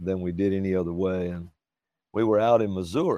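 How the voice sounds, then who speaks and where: With a Southern US accent, a man talks against a quiet background. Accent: Southern drawl. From Alabama, US South. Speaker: traveling ministry singer. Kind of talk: casual chat. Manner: slow.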